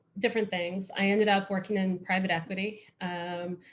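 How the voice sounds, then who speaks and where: This woman speaks with an American accent. Her voice is somewhat breathy. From United States. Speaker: former lawyer, startup executive, panelist. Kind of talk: panel self-introduction.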